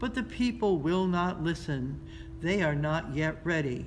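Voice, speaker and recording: In a put-on character voice, a woman speaks soft-spoken and rumbling with a gentle tone and fairly low pitch, at a moderate pace, over clear background noise. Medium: read story. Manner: slow, gentle, wise.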